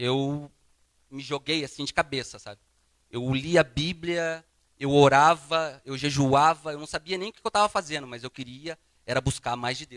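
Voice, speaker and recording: A plain, everyday voice from a man, fairly high-pitched, moderate in pace, with ordinary pitch variation. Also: dry, close sound with no echo. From southern Brazil, Paraná (Londrina). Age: 30s. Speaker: guest preacher. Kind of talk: sermon with personal testimony. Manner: casual, conversational.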